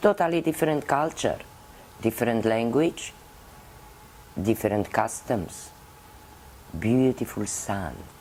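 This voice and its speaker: A woman's very deep, low voice with a Romanian accent, fairly slow, with very wide pitch swings. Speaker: puppeteer. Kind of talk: interview.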